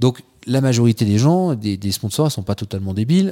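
Medium in pitch, a man speaks in a dark, mellow tone with lively intonation at a fairly quick pace. The recording is very clean, with a silent background. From France, Troyes (Aube). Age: 40s. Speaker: polar explorer and diving instructor. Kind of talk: casual interview chat. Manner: animated, joking.

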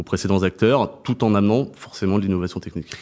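This is a man speaking in a fairly low pitch. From southern France, Montpellier. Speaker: purchasing director. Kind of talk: interview. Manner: hesitant with fillers.

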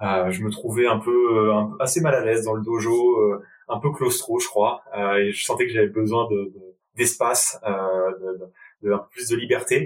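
A man's medium-pitched voice moves fairly slowly, with ordinary pitch variation. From Paris region, France (Val-d'Oise). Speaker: professional rugby player and consultant. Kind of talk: interview conversation.

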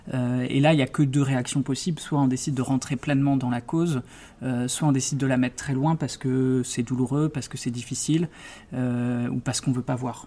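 At a fairly quick pace, a man talks in a monotone, flat intonation at medium pitch with a dark, mellow tone. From Brittany, France (Brest). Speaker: criminal lawyer and prison rights advocate. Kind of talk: interview.

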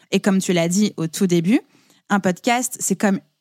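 A woman with a dark, mellow tone, medium pitch, ordinary pitch variation and moderate pace, in a very clean recording with a silent background and a dry, close sound with no echo. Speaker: podcast and business mentor. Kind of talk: casual interview chat. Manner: carefully articulated.

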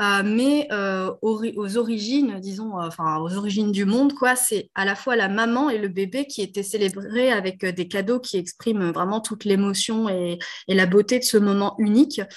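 A woman with a normal speaking voice talks at a fairly slow pace. Her pitch is medium, with ordinary pitch variation. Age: 30s. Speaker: entrepreneur, co-founder of a postpartum gift brand. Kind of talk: interview.

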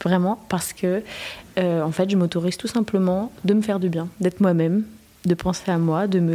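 With fairly even intonation, the speaker has an unremarkable speaking voice. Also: woman. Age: 20s. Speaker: music student. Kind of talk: casual interview. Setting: in a bar.

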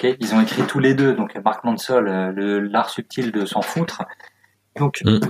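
In a dry, close sound with no echo, a man talks at a fairly slow pace with lively intonation. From France, moved around provinces. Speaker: copywriter and author. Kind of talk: casual interview chat. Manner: animated.

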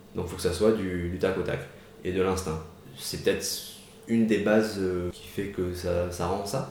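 A man with a very deep, low pitch and fairly even intonation at a moderate pace, long, frequent pauses, audible room echo, and noticeable background noise. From Marseille, southern France. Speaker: photographer and street artist. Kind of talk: interview. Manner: hesitant with fillers.

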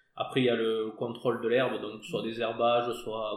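Audible room echo surrounds a man speaking at a moderate pace with a medium pitch. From southern France, Hérault. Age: 30s. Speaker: winegrower. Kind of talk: casual interview. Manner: hesitant, with fillers.

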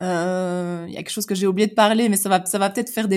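The intonation stays monotone and flat, captured on a very clean recording with a silent background. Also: woman. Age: 30s. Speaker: life coach. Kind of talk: interview conversation. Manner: hesitant, many fillers.

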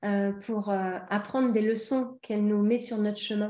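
Against a quiet background, a woman with a slight English accent speaks at a fairly high pitch in a dark, mellow tone with monotone, flat intonation. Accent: slight English tinge to her French. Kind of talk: casual interview.

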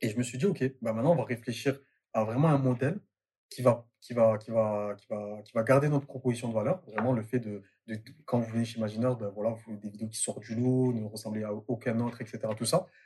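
Speaking at a fairly quick pace, a man with a medium pitch and a dark, mellow tone sounds somewhat breathy, keeping his intonation fairly even while his loudness swings widely. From Marseille, southern France. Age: 20s. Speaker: entrepreneur. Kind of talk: casual interview. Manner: halting, many fillers.

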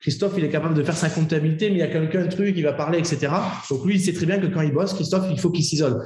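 There is audible room echo around this man's voice. His pitch is fairly high, with ordinary variation. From France, Bordeaux. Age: 20s. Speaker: fitness coach and entrepreneur. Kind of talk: interview.

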